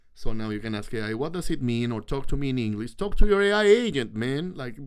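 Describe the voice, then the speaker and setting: With a non-native accent, a man talks very fast, his pitch swinging very widely and his loudness in big swings, amid audible room echo. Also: medium pitch for a man. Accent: foreign accent in English. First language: not English. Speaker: host's partner appearing on live stream. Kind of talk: casual chat on live stream. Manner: animated.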